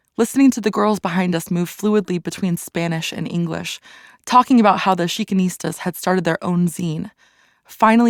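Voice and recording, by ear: Pitch moves in a normal way while the passage is read aloud in a natural voice.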